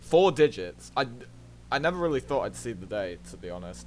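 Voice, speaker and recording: The speaker is a man with a medium pitch. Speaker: speedrunner. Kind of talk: casual talk to camera. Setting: fuzzy home microphone.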